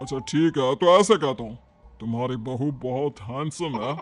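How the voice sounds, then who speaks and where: Using a cartoonish character voice, a man talks at a medium pitch and a moderate pace. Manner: crude, rough street talk.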